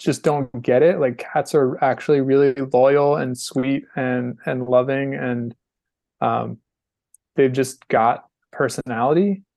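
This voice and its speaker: A man with an American accent at a very slow pace. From North Carolina. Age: 40s. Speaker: skateboarding podcast host and filmer. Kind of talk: casual interview chat.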